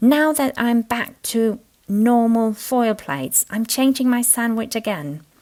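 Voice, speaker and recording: With a Danish accent, a woman talks at a fairly slow pace and a fairly high pitch. Her pitch varies in an ordinary way on a very clean recording with a silent background. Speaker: crafter. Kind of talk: tutorial.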